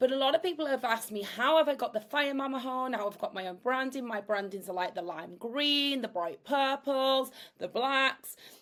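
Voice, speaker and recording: A woman's high voice with lively intonation at a moderate pace, with hardly any pauses. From northern England, Yorkshire. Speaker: AI content creator. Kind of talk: tutorial. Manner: energetic; casual, chatty.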